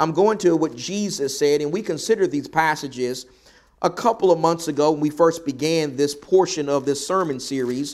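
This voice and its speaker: A man with a Southern US accent speaks at a fairly high pitch. His pitch varies in an ordinary way. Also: moderate pace. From US South. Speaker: preacher. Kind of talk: sermon. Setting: church.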